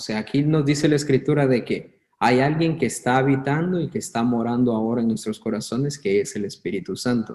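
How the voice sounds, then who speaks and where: A man has a normal speaking voice at a medium pitch with ordinary pitch variation. He talks at a fairly quick pace with hardly any pauses. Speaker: bible teacher. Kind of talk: online bible class. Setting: online video class.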